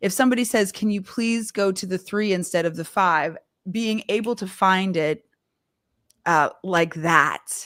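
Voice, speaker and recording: A woman with a Canadian accent and an ordinary speaking voice, medium pitch, ordinary pitch variation and a fairly slow pace, on a very clean recording with a silent background. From Canada. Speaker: vocal coach and live show host. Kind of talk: live stream interview chat. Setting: live stream.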